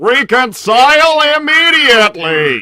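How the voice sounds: A man does a put-on character voice at an extremely high pitch, with a bright, sharp tone. He talks at a slow pace with big pitch swings.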